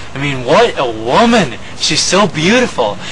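A man speaks with lively intonation. Noticeable background noise is present. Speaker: comedy sketch actor. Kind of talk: comedic sketch monologue. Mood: giddy, lovestruck, playful. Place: street.

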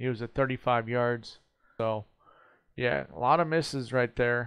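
Fairly even intonation marks a man's speech. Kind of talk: casual vlog chat. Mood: reflective, calm. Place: home room. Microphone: headset.

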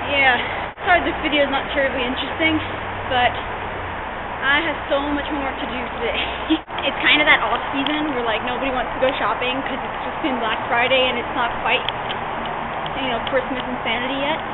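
A woman's fairly quick speech competes with loud background noise. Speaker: vlogger. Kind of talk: casual vlog chat. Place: garage. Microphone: phone near.

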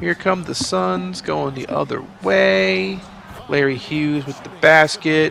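Very slow in pace, a man speaks with very wide pitch swings over noticeable background noise. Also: medium pitch for a man. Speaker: gaming YouTuber. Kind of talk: sports commentary. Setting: video game commentary. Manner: casual, rambling, self-correcting.

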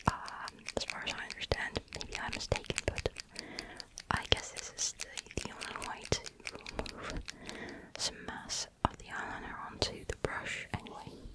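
This is a soft-spoken whisper. It keeps a moderate pace. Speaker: asmr makeup creator. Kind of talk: soft-spoken tutorial chat. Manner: soft close-mic ASMR whisper. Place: home room. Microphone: studio mic.

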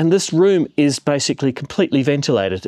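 Against a quiet background, a man speaks at a fairly quick pace. His pitch varies in an ordinary way. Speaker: tech reviewer. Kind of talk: casual vlog chat. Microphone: phone near.

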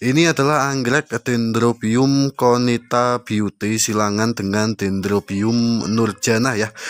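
With an upbeat tone, a man talks at a fairly slow pace in a dry sound with no echo. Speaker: orchid seller vlogger. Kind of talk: street-seller style sales pitch. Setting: video channel, solo to camera. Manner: upbeat, promotional, direct address to viewers. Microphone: phone near.

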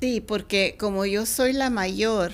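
A woman with a medium pitch talks at a very slow pace. Her pitch variation is ordinary. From Mexicali, Mexico, then California; Mexico. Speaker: children's book author and former teacher; interviewee. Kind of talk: interview. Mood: warm, reflective storytelling. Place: studio. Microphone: studio mic.

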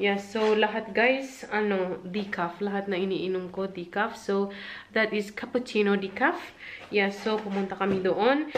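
A woman at a fairly slow pace, fairly even intonation, light background noise. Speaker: vlogger. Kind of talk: casual vlog chat. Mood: relaxed, laughing at times. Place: home room. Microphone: phone near.

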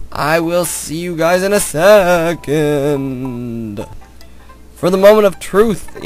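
A man puts on a character voice with a high pitch and a very slow pace. Clear music plays in the background. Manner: spooky.

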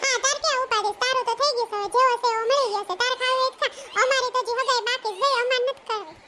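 A woman's squeaky, cartoonish character voice at an extremely high pitch, very fast and fairly even in intonation, with light background noise. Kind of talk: comic cartoon dialogue. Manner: earnest, gently teasing.

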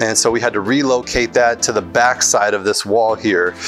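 Clear music plays in the background as a man speaks. He talks at a fairly slow pace with fairly even intonation. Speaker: renovation contractor. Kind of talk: walkthrough commentary. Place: home room. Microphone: phone near.

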